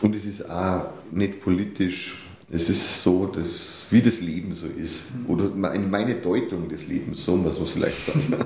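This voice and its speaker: A man speaks at a fairly low pitch. Audible room echo and noticeable background noise surround him. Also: ordinary pitch variation, fairly slow pace. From Upper Bavaria, Germany. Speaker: newspaper editor and cabaret artist. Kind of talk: casual interview. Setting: studio, sitting face to face.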